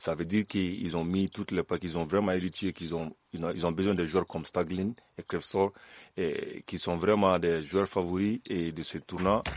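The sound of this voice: A man's low voice, slightly mellow, at a moderate pace with fairly even intonation, in a dry, close sound with no echo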